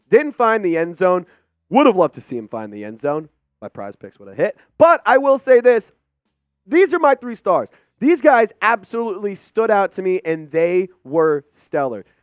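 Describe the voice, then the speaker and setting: Against music in the background, a man talks in an animated tone at a moderate pace, his high pitch swinging very widely, the sound dry and close with no echo. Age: 20s. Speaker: sports YouTube host. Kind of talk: casual sports commentary video.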